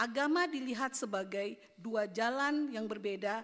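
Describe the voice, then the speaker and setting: With ordinary pitch variation, a woman speaks in a plain, everyday voice at a fairly high pitch. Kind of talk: conference speech, read prepared text.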